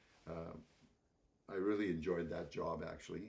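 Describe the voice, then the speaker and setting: A man with a very deep, low pitch and a Canadian accent. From Canadian Prairies, Saskatchewan. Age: 70s. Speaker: composer and speaker. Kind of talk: talk to an audience. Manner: halting, many repetitions.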